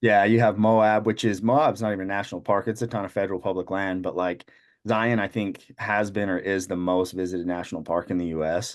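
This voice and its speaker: A man's plain, everyday voice with an American accent, fairly low in pitch, at a fairly quick pace with fairly even intonation, against a quiet background. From Utah. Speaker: shed hunter. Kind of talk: casual chat.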